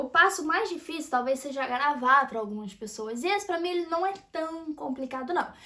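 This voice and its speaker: In a raised, projected voice, a woman speaks at a moderate pace with an animated tone. Her bright, sharp delivery moves through very wide pitch swings. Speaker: YouTuber, personal development. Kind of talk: casual monologue to camera.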